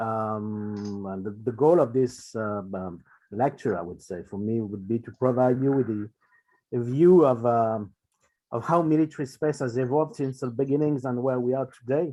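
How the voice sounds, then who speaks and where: At a moderate pace, a dark, mellow voice with a French accent speaks with ordinary pitch variation. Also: man, medium pitch for a man. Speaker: space policy researcher. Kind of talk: lecture. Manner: halting with many fillers.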